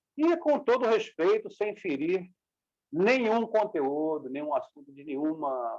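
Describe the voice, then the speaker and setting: A man at a moderate pace, with lively intonation. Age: 60s. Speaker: martial arts master. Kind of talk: interview.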